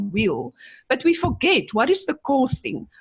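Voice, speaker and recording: A woman with a non-native accent at a moderate pace, with very wide pitch swings. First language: not English. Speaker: chemical engineer and business coach. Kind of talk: interview conversation.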